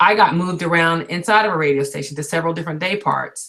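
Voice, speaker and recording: A plain, everyday voice from a woman, fairly low in pitch, with lively intonation. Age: 50s. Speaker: radio host. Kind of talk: webinar interview.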